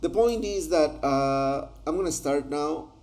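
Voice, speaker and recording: Audible room echo surrounds a man whose fairly high voice carries ordinary pitch variation. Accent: Spanish. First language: Spanish. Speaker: translator. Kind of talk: tutorial. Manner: halting.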